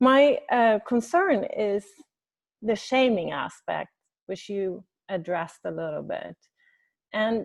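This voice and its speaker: The background is quiet. Someone with a Swedish accent speaks at a very slow pace. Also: woman. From Sweden. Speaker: webinar participant. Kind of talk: question in online group meeting. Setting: video call. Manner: halting.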